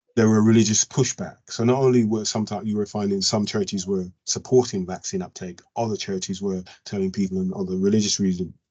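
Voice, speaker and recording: Talking at a very fast pace, a man with a fairly low voice keeps his intonation fairly even. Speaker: professor, health researcher. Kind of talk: presentation at an online learning event. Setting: video call. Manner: rushed; halting, many fillers.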